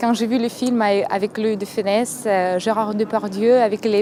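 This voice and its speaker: Noticeable background noise sits behind the speaker. She is a woman with a fairly high pitch and fairly even intonation. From Moldova. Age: 20s. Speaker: university student. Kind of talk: interview. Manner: hesitant, with fillers.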